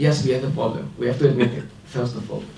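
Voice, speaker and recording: A man with a non-native accent at medium pitch, fairly quick pace and ordinary pitch variation, amid audible room echo and noticeable background noise. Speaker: academic researcher, panelist. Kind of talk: panel discussion speech. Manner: hesitant, with fillers.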